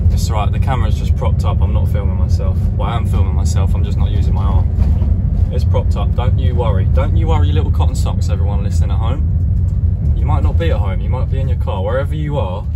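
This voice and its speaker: Against loud background noise, a man talks at a very fast pace. His pitch varies in an ordinary way. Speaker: postman vlogger. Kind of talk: casual vlog chat. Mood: playful, joking. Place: car. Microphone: phone near.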